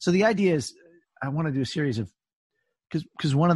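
A man talks very fast in a somewhat breathy voice against a quiet background. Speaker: podcast host. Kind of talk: casual interview conversation.

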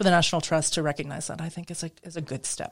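A woman speaks with an American accent at a very deep, low pitch. Her intonation is flat and monotone. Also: very clean recording, silent background. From US Midwest. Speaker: interior designer and historic preservation expert. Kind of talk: interview conversation. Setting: studio.

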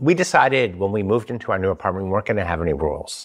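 With an American accent, a man speaks with very wide pitch swings against a quiet background. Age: middle-aged. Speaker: podcast host. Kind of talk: casual chat.

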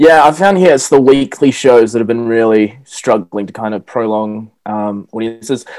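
A man speaks with a New Zealand accent. He hardly pauses at all. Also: medium pitch for a man, ordinary pitch variation, moderate pace. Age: 20s. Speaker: stand-up comedian. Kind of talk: casual chat. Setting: video call.

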